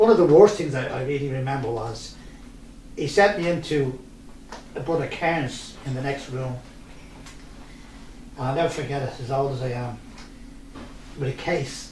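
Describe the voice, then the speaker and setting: Talking with a Dublin accent at a moderate pace, this speaker uses ordinary pitch variation and long, frequent pauses amid audible room echo. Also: man, fairly high pitch for a man. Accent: Dublin Irish. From Ireland, Dublin (Ballyfermot). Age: 70s. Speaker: local resident sharing memories. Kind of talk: interview, personal reminiscence.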